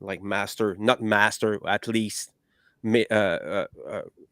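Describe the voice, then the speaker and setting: A man with a non-native accent speaks at a very slow pace with monotone, flat intonation, in a dry, close sound with no echo on a very clean recording with a silent background. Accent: non-native English, improving. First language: French. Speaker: podcast host. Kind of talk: panel discussion. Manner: halting, many fillers.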